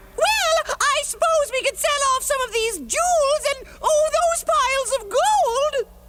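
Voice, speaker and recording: A squeaky, put-on character voice sits at extremely high pitch, at a fairly slow pace with hardly any pauses. Light background noise is present. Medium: cartoon. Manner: sycophantic, fluttery, stammering.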